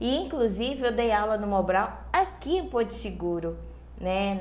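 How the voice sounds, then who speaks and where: There is noticeable background noise and audible room echo as a woman talks at a fairly slow pace, her medium pitch showing ordinary variation. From Angola. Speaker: spiritist speaker. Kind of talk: interview. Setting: studio.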